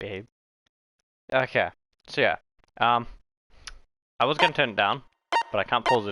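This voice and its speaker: The speech moves at a moderate pace with long, frequent pauses. Its tone is bright and sharp, with ordinary pitch variation. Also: man, medium pitch for a man. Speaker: streamer. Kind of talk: live game stream commentary. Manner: casual, swears often.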